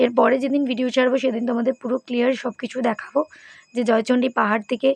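A woman speaks at a high pitch with monotone, flat intonation. The sound is dry and close, with no echo. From West Bengal, Purulia. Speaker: vlogger. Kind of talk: travel vlog. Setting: outdoors on a hill. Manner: chatty, addresses viewers directly.

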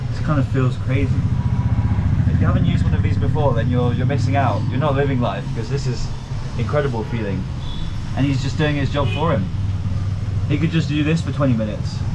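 Loud noise sits behind the voice. A man is talking very fast. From England. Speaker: travel vlogger. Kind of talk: travel vlog narration and casual chat with locals. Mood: amused, relaxed, wincing. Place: shop. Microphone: phone near.

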